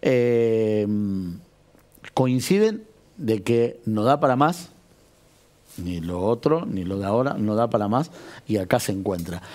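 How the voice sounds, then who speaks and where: The speaker goes very slowly, leaving long, frequent pauses, yet the intonation stays lively. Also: man, medium pitch for a man. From Argentina, Greater Buenos Aires (Malvinas Argentinas); Argentina. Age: 40s. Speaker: local political organizer; interview guest. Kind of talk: TV interview. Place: studio. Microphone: lapel.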